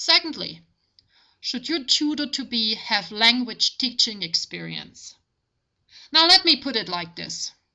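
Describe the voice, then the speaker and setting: A woman speaks in a high pitch with a German accent and very wide pitch swings. Her pace is fairly slow, with long, frequent pauses. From Germany. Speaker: language tutor. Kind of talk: tutorial.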